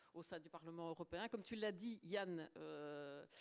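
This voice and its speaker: A woman speaks with ordinary pitch variation. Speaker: politician, former trade unionist. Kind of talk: panel discussion. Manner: hesitant, many fillers and repetitions.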